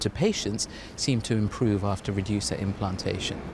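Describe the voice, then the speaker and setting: This man has an unremarkable speaking voice, pitched fairly low. He talks at a fairly quick pace. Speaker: cardiovascular consultant. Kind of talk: interview answer.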